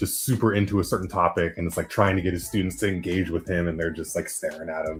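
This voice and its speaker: A somewhat breathy man's voice, very deep and low in pitch, at a very fast pace. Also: ordinary pitch variation. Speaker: after-show panelist. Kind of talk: casual chat.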